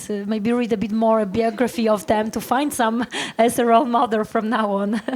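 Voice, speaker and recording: There is noticeable background noise. Over it, a woman talks at a fairly high pitch. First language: Polish. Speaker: startup founder panelist. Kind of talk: panel discussion. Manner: halting.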